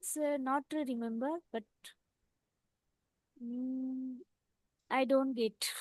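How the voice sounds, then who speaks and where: A woman with an Indian accent speaks very slowly in a high voice, with fairly even intonation and long, frequent pauses. Her loudness swings widely, and the sound is dry and close, with no echo. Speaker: English learner. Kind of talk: casual conversation practice.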